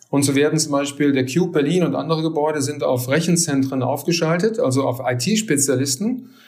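A man talks at a fairly quick pace with hardly any pauses, his voice somewhat breathy and fairly high, his loudness very even, and audible room echo around him. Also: ordinary pitch variation. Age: 50s. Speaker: technology consultant, company partner. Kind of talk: interview. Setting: remote recording.

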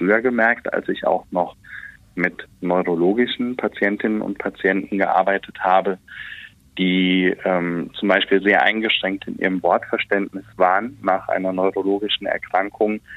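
Pitched fairly low, a man speaks with a normal speaking voice. His pace is moderate and his intonation fairly even. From Westerwald, Rhineland-Palatinate. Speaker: voice and speech coach. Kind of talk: interview.

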